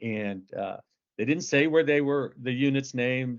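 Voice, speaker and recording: A man with an American accent talks at a moderate pace in an unremarkable speaking voice. His intonation is fairly even. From Northern California. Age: 60s. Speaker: novelist and military veteran. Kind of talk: casual interview. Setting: podcast.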